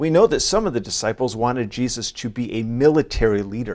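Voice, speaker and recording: A man with a medium-pitched, ordinary speaking voice talks at a fairly quick pace. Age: 40s. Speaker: pastor. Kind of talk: sermon.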